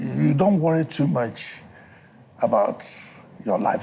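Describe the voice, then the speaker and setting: The man talks at a moderate speed. Behind him, background noise is noticeable. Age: 80s+. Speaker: explorer and environmentalist. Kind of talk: interview answer. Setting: studio.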